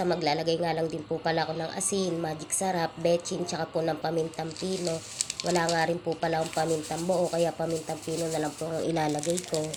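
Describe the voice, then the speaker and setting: Over noticeable background noise, a woman talks at a very fast pace in a monotone, flat intonation. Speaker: cooking vlogger. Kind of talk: cooking tutorial voiceover. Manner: polite, repetitive filler phrases.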